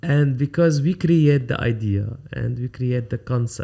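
A somewhat breathy voice with an Arabic accent and a dark, mellow tone speaks at a fairly slow pace. The background is quiet. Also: man. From Lebanon. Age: 50s. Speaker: photographer. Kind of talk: interview. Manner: halting. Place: studio. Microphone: studio mic.

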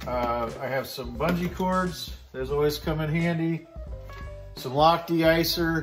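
Clear music plays in the background. A man speaks with fairly even intonation. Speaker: preparedness vlogger. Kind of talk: casual gear show-and-tell. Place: garage. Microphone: phone near.

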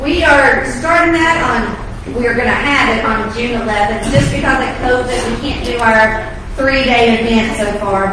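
A woman speaks at a moderate pace with a high-pitched voice. The room echoes strongly, and background noise is noticeable. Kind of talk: church announcements. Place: church.

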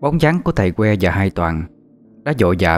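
The speaker uses an unforced reading voice.

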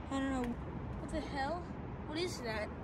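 A woman speaks. Loud background noise sits behind her voice. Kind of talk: casual vlog commentary. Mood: excited, awed. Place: open country. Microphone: phone near.

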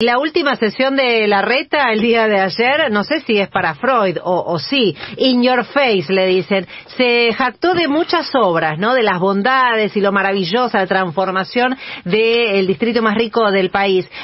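An ordinary speaking voice moves at a fairly slow pace. Its intonation is lively. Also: woman, fairly high pitch for a woman. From Argentina. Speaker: news show host. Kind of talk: news commentary. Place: studio.

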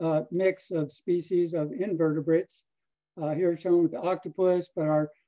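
Against a quiet background, a man with a high pitch and a dark, mellow tone speaks at a fairly slow pace. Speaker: fisheries scientist. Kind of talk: research talk. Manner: halting. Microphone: video call.

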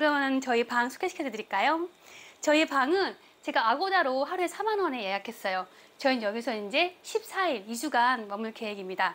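A woman speaks at a moderate pace in a high pitch. Her pitch swings very widely. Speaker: travel vlogger. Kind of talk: casual vlog chat. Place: home room.

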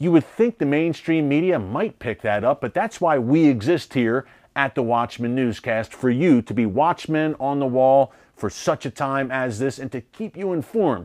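A man with an American accent at a moderate pace against a quiet background. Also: lively intonation. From United States. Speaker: news show host. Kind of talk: news commentary. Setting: studio. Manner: emphatic, urgent; formal, fluent. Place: studio. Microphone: lapel.

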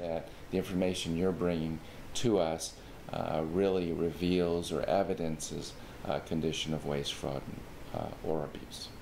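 At a fairly slow pace, a man with a very deep, low voice speaks in fairly even intonation over light background noise. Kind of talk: informational explainer. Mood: calm, formal. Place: office.

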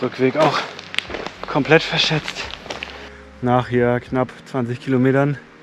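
Over noticeable background noise, a man talks at a fairly slow pace. His intonation stays fairly even. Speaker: hiker vlogger. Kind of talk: casual vlog chat. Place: forest. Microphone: phone near.

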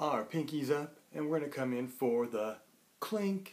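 The man's pitch varies in an ordinary way as he talks. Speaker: host reading to children. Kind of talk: casual vlog chat for kids. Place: home room. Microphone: webcam.

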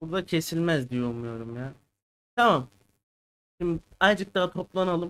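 This man speaks at a moderate pace in a fairly high pitch. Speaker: crypto market analyst. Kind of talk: live stream chat. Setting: live stream from home.

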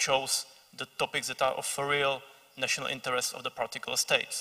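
Speaking at a fairly quick pace, a man delivers his words in a flat monotone with a Czech accent. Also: quiet background. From Czech Republic. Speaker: think tank analyst; speaker. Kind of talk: panel discussion. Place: stage. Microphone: handheld.

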